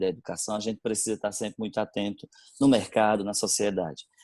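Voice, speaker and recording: Speaking at a fairly quick pace, a man uses a fairly low pitch. He has a northeastern Brazilian accent. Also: quiet background. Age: 40s. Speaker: religious brother, school director. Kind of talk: interview. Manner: halting, many fillers.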